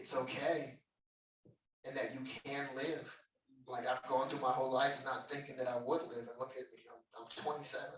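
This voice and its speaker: With long, frequent pauses and big swings in loudness, a man at medium pitch speaks at a moderate pace in a fairly even intonation. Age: 20s. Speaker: performer. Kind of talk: interview. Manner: earnest.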